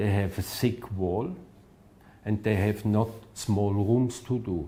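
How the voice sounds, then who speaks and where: This man has a fairly low pitch, a dark, mellow tone and a somewhat breathy voice with a non-native accent. He talks at a very slow pace with ordinary pitch variation. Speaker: architect. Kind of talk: interview answer. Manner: halting.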